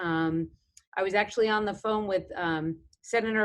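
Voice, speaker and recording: In a New York accent, the speaker goes at a moderate pace with ordinary pitch variation. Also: woman. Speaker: government defense official. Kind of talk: panel discussion. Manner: hesitant, many fillers.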